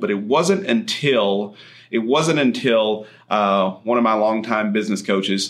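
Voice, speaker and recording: A man's fairly low voice in a West Texas accent. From far west Texas (Andrews). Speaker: chiropractor and health podcast host. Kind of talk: solo podcast monologue. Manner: conversational with frequent fillers.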